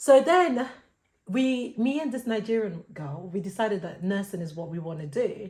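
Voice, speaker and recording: A woman talks in a somewhat breathy voice. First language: not English. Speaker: podcast co-host. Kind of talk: casual chat. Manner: hesitant, filler-heavy.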